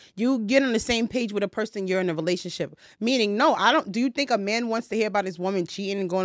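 Her medium-pitched voice racing at a very fast pace with hardly any pauses, a woman speaks with ordinary pitch variation in a very clean recording with a silent background. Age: 20s. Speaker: podcast host. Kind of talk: casual chat.

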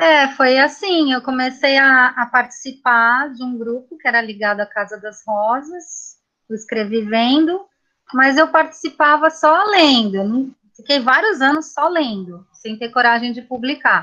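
Projecting her raised voice, a woman speaks fairly slowly at a high pitch, her tone bright and sharp, her intonation lively and her loudness swinging widely. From São Paulo city, Brazil. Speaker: poet and art teacher. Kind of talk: casual chat. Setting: video call.

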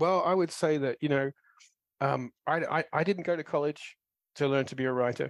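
A man's fairly high voice at a moderate pace, with fairly even intonation and a dry, close sound with no echo. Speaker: tie-in novelist. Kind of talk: interview. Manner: chatty.

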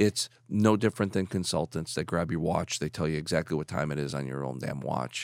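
A man with an American accent talks at a fairly quick pace. His very deep, low voice carries vocal fry, and the sound is dry and close with no echo. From Chicago. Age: 50s. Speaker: business executive. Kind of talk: casual interview.

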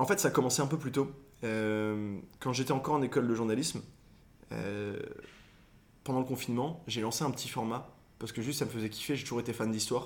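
A man of medium pitch talks at a fairly quick pace with ordinary pitch variation, broken by long, frequent pauses. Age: 20s. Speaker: content creator. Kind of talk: casual chat.

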